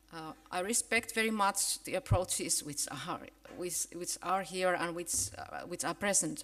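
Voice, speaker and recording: Speaking with a Finnish accent, a woman talks at a fairly slow pace. Her pitch is medium, and its variation is ordinary. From Finland. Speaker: professor of education. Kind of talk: conference keynote. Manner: halting, many fillers and restarts.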